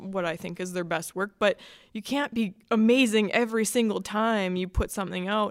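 A woman with a Canadian accent and an unremarkable speaking voice talks at a fairly quick pace, with medium pitch and ordinary pitch variation, in a very clean recording with a silent background. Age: 20s. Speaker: artist. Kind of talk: casual interview.

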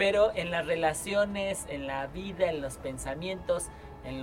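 Noticeable background noise fills this recording. A man talks through it at a fairly slow pace. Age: 30s. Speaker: podcast host and producer. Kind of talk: casual chat.

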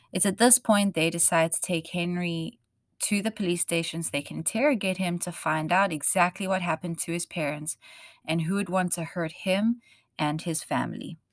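In a South African accent, a woman speaks on a very clean recording with a silent background and a dry, close sound with no echo. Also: fairly low pitch for a woman, ordinary pitch variation, moderate pace. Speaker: true crime podcast host. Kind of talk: true crime storytelling.

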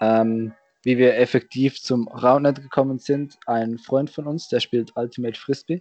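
A man with an unremarkable speaking voice, medium pitch, fairly even intonation, fairly slow pace, dry, close sound with no echo. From Switzerland. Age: young. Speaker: roundnet player and organizer. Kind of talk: casual chat. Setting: video call.

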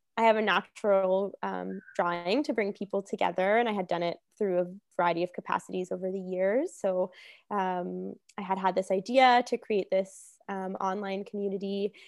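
A woman with a Canadian accent and a normal speaking voice, medium in pitch, at a moderate pace with fairly even intonation, on a very clean recording with a silent background. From Hamilton, Ontario, Canada. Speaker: naturopathic doctor. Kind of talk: casual interview chat.

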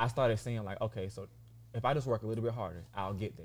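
Animated in tone, a man with a medium pitch talks with vocal fry and ordinary pitch variation. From US South. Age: 20s. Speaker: fashion model. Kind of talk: casual chat.

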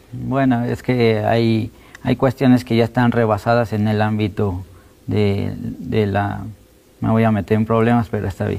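Using a normal speaking voice, a man talks at a fairly slow pace. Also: fairly low pitch for a man, fairly even intonation. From Mexico City. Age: 30s. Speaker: documentary photographer. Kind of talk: interview.

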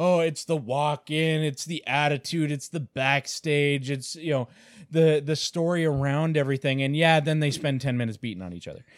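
With a Canadian accent and a plain, everyday voice, a man speaks at a fairly high pitch and moderate pace with ordinary pitch variation, recorded very cleanly against a silent background with a dry, close sound and no echo. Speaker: comic and toy store owner, podcast co-host. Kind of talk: casual chat.

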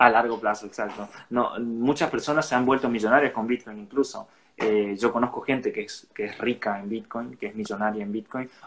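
A man at a medium pitch and fairly quick pace, with fairly even intonation and big swings in loudness. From Argentina, Resistencia, Chaco. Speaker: bitcoin advocate and entrepreneur. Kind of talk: interview explaining a topic. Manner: hesitant, many fillers.

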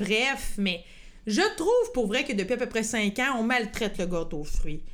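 An animated woman speaks at a fairly slow pace. Her fairly high voice swings very widely in pitch. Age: 30s. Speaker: podcast host. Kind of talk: casual chat.

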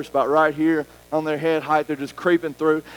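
Very fast speech from a man, dry and close with no echo, with music in the background. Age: 40s. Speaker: pastor. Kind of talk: sermon. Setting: church. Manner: animated.

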